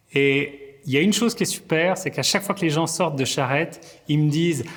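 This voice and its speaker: Fairly high, somewhat breathy male speech. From Vaud, Switzerland. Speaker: comedian. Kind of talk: interview answer. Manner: energetic.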